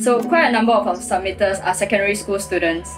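The speaker talks at a fairly quick pace while clear music plays in the background. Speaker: founder of a story-sharing project. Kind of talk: introduction to camera. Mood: earnest, serious. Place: home room. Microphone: phone near.

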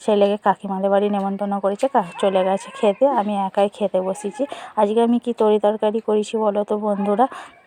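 A woman's medium-pitched voice in a monotone, flat intonation, with a dry, close sound with no echo and noticeable background noise. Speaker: lifestyle vlogger, homemaker. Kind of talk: casual vlog voiceover. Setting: outdoors in the sun.

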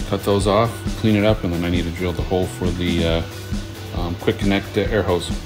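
Clear music plays behind a man as he speaks. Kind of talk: casual DIY tutorial narration. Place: workshop. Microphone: phone near.

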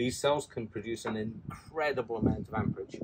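A man with a fairly low pitch talks at a fairly quick pace, his slightly mellow tone carrying a slightly husky edge and ordinary pitch variation.

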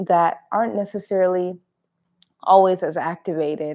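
The tone is dark and mellow, with fairly even intonation. The background is quiet. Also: woman. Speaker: yoga instructor. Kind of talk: class introduction. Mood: warm, friendly. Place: home room.

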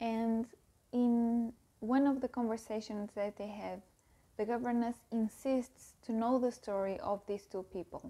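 A woman with a non-native accent speaks in a dark, mellow tone with monotone, flat intonation. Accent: non-native English speaker. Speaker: book youtuber. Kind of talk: casual book review to camera. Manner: slow. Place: home room. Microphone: lapel.

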